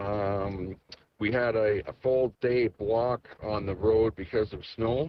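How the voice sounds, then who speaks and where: In an Alberta accent, a man speaks at a very slow pace with a fairly low pitch and fairly even intonation. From Alberta, Canada. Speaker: convoy participant on trucker radio. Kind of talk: live radio chatter, describing the road.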